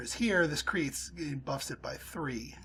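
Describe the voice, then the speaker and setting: A man's fairly high voice shows vocal fry and ordinary pitch variation. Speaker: gaming YouTuber. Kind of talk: let's play commentary.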